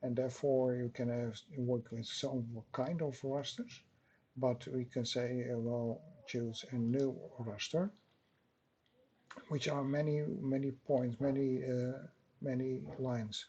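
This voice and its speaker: A man with a Dutch accent and a dark, mellow tone, at a very slow pace with long, frequent pauses and fairly even intonation. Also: medium pitch for a man. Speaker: software tutorial maker. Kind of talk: tutorial. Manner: halting, many fillers.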